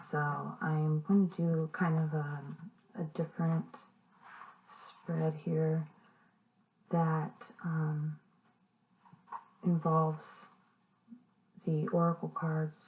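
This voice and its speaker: Soft-spoken and somewhat breathy, a woman talks very slowly in a very deep, low voice, flat and monotone, with long, frequent pauses. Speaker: tarot reader. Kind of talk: tarot reading. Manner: halting.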